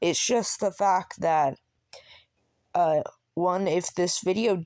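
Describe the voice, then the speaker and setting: In a dry, close recording with no echo, a woman speaks at a very slow pace with ordinary pitch variation. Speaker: small YouTuber. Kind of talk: unscripted solo rant. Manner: halting, stuttering; casual, filler-heavy.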